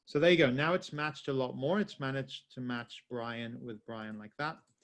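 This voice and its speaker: A man talks with ordinary variation in pitch. Nothing else is heard behind him. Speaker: software trainer. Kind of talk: webinar tutorial. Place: home room.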